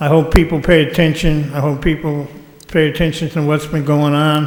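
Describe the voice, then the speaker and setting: With an American accent, a man talks at a moderate pace in a fairly high voice, with noticeable background noise and audible room echo. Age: 60s. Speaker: citizen speaker at public meeting. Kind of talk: public comment at council meeting.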